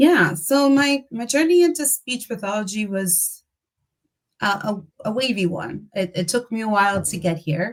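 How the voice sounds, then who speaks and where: A woman's somewhat breathy, fairly high voice at a moderate pace, with very wide pitch swings. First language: Spanish. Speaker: speech-language pathologist. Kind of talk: interview.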